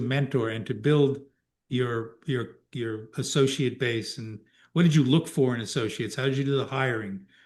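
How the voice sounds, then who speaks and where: A man with an American accent talks at a moderate pace in a normal speaking voice, his medium pitch showing ordinary variation. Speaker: podcast host, lawyer. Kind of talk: interview.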